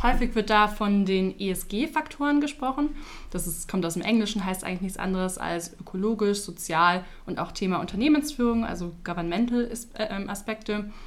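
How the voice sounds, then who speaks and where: Here is a woman with an ordinary speaking voice at a medium pitch. She talks at a moderate pace with lively intonation. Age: 20s. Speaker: insurance product marketer. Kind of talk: podcast interview.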